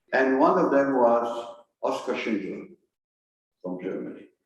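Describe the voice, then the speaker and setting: A man at a moderate pace, ordinary pitch variation, audible room echo. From Belgium. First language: French. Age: 80s+. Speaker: historian. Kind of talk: lecture.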